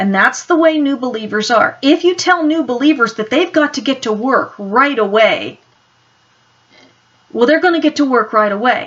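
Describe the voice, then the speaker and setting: Her voice high in pitch, a woman speaks at a moderate pace with lively intonation. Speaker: Bible teacher. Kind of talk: Bible teaching talk.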